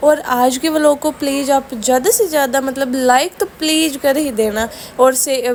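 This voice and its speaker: A woman speaks in a high pitch with a Rajasthani accent. Her intonation stays fairly even, and noticeable background noise runs underneath. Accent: Rajasthani-tinged Hindi. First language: Rajasthani (Marwari/Shekhawati) (speaking Hindi). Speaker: family vlogger. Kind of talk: casual vlog narration.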